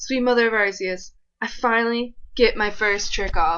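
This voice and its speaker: A woman with a bright, sharp tone and fairly high pitch speaks with ordinary pitch variation over a quiet background. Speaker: gaming commentator. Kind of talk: gameplay commentary. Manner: fast; animated.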